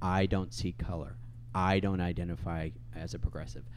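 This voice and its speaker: A man speaks at a moderate pace with vocal fry. His pitch is very deep and low. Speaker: podcast host. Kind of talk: casual chat.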